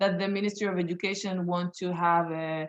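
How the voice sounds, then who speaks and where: Monotone, flat intonation at a moderate pace. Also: woman. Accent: Israeli. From Israel. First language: Hebrew. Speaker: sociologist and community activist. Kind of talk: Q&A after a public talk. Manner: halting, many fillers and repetitions.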